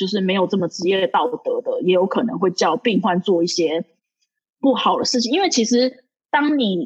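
A woman with a medium pitch talks at a moderate pace with ordinary pitch variation. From Taiwan. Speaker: podcast guest, Taiwanese professional in New York. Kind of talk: casual chat. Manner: halting, many fillers and repetitions.

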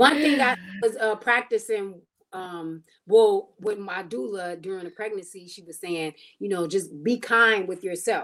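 She has an unremarkable speaking voice and speaks at a fairly slow pace. The woman's pitch shows ordinary variation. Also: medium pitch for a woman, big swings in loudness. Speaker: comedian and choreographer. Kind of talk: casual chat. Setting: video call.

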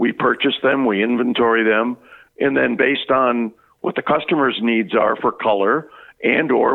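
In an American accent, a man with a normal speaking voice talks at a moderate pace, with medium pitch and ordinary pitch variation. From Louisiana, US. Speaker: lighting company sales director. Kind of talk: interview, casual.

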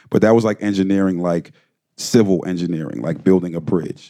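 A man's very deep, low voice with a dark, mellow tone, an American accent and ordinary pitch variation, in a dry, close sound with no echo. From Delaware, US (Wilmington). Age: 30s. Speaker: music engineer. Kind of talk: lecture interview.

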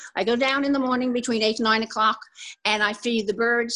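A woman is talking. She has a bright, sharp tone. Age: 80s+. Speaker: cat rescuer. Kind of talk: interview.

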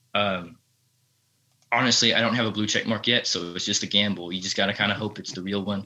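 A man speaks at a very fast pace in a Texan accent. His fairly low voice has a bright, sharp tone and monotone, flat intonation. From Texas. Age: young. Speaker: country musician. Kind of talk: casual interview chat. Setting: remote call. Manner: halting.

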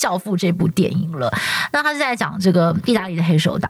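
A woman speaks with a Taiwanese accent. Her pitch is medium. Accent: Taiwanese Mandarin. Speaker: TV news anchor and podcast host. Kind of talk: casual chat. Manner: smooth, even delivery.

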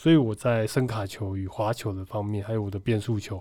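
A dark, mellow tone comes at a fairly quick pace with fairly even intonation. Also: man. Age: 30s. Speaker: baseball pitcher and bank employee. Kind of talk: casual interview.

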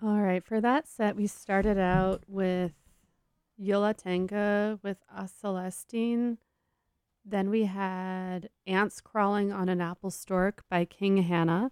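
This woman speaks at a very slow pace in a relaxed, warm tone. Her intonation is monotone and flat. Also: medium pitch for a woman. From San Francisco Bay Area. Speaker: radio host. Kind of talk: radio DJ patter, back-announcing tracks. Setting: radio studio. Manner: relaxed, chatty, warm and conversational.

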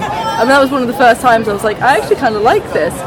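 Crowd noise fills the background and audible room echo surrounds a woman speaking with ordinary pitch variation. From Swindon, England. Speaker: illustration graduate. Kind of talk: casual interview. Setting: outdoors.

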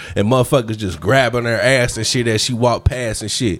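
A man at a medium pitch and a fairly quick pace, with noticeable background noise. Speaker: podcast co-host.

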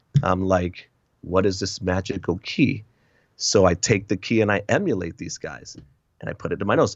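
A man with an American accent, a very deep, low pitch, ordinary pitch variation and a moderate pace. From US Northeast, Connecticut and Massachusetts. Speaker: author and speaker. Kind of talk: interview testimony.

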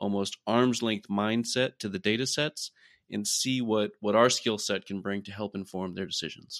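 A normal speaking voice with an American accent talks at a moderate pace with ordinary pitch variation. The recording is very clean, with a silent background and a dry, close sound with no echo. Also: man. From US Midwest, Iowa. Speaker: research scientist. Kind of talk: interview.

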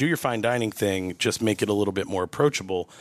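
A plain, everyday voice with an American accent and ordinary pitch variation comes through a dry, close sound with no echo on a very clean recording with a silent background. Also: man. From New York. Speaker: executive chef. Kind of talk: casual interview.

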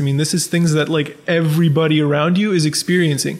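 A man with a Canadian accent at a fairly quick pace, amid noticeable background noise. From Ontario, Canada (Scarborough and Pickering). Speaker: sports writer. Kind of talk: casual interview chat.

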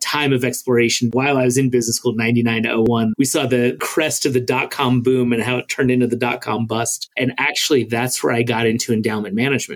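With an American accent, a man talks at a fairly quick pace and medium pitch in an ordinary speaking voice. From New York (Brooklyn). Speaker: venture capital investor. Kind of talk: interview.

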